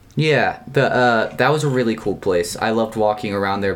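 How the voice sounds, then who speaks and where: A man with an American accent speaks at a fairly low pitch. Noticeable background noise runs behind him. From US South, North Carolina. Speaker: podcast co-host. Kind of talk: casual chat.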